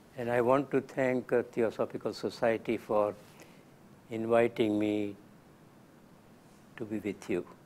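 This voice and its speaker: A man's medium-pitched voice in a Gujarati accent, fairly slow with long, frequent pauses and fairly even intonation, on a very clean recording with a silent background. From India (Gujarat). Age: 90s. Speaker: lecturer. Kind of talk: lecture.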